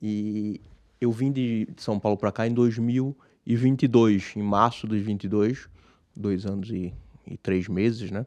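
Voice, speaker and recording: A man with a Pernambuco accent speaks at a fairly low pitch and a fairly slow pace. His intonation stays fairly even against a quiet background. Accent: Pernambuco accent, kept. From Brazil, Pernambuco (Recife). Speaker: businessman, investor. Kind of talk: interview. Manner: halting, many restarts.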